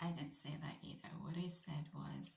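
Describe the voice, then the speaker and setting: Vocal fry marks this voice with a British accent, heard with audible room echo. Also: woman. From UK. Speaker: vlogger. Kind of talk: storytelling monologue. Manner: animated.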